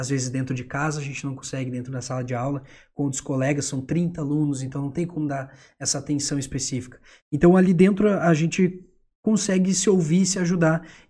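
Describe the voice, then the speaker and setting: A man speaks at a fairly quick pace in a dark, mellow, somewhat breathy tone, with a fairly high pitch and ordinary pitch variation. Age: 20s. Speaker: theatre teacher and entrepreneur. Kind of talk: casual chat.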